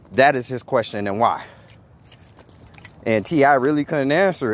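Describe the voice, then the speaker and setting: This speaker has an American accent and ordinary pitch variation. Noticeable background noise runs underneath. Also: man, medium pitch for a man, moderate pace. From Gary, Indiana, US Midwest. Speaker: vlogger. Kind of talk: casual vlog commentary. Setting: outdoors at night. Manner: casual.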